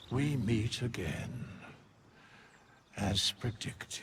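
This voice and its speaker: A man puts on a character voice at a medium pitch and talks very slowly. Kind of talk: archaic formal speech. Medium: video game. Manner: slow, cold.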